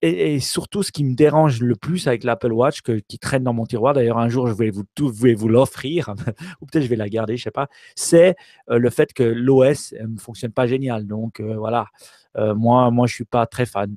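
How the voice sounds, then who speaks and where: A man talks at a fairly slow pace with medium pitch, a dark, mellow tone and ordinary pitch variation. The sound is dry and close with no echo, a very clean recording over a silent background. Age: 40s. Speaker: tech podcast co-host. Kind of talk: casual chat.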